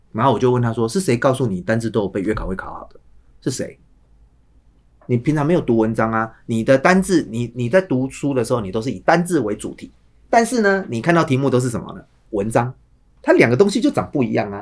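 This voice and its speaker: Here a man speaks very fast with a Taiwanese accent. His medium-pitched voice has lively intonation. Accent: Taiwanese Mandarin. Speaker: high school English teacher. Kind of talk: casual chat.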